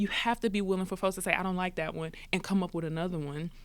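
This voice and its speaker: A woman talks at a medium pitch. Her recording is very clean, and the background is silent. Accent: American. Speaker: singer-songwriter. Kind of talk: podcast interview. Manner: animated.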